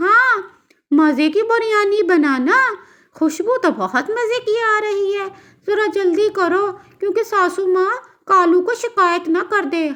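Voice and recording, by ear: A woman's cartoonish character voice, extremely high in pitch, at a fairly slow pace.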